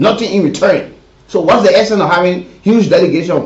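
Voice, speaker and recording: Audible room echo surrounds a man speaking at a fairly quick pace in a high voice. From Liberia. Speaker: radio talk show host. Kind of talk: live call-in talk show.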